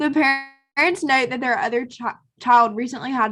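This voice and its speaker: With a strong Southern US accent, a woman talks at a fairly quick pace. Her pitch variation is ordinary. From South Carolina. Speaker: premed student attendee. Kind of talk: reading aloud.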